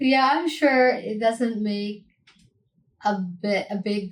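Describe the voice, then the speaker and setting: The speech comes at a very slow pace with an American accent. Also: woman. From United States. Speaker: reaction video creator. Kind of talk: reaction commentary.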